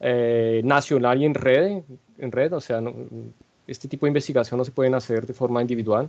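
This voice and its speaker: A man is talking. His pace is fairly quick. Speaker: statistics researcher. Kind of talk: lecture. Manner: hesitant, many fillers and restarts.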